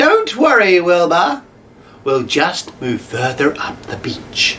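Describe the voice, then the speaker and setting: This put-on character voice sits at a middle pitch and moves at a fairly slow pace. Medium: read story.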